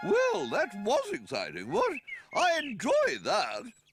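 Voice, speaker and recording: A cartoonish character voice speaks at a fairly slow pace. Faint music plays in the background. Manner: genteel, tacking "what?" onto sentences.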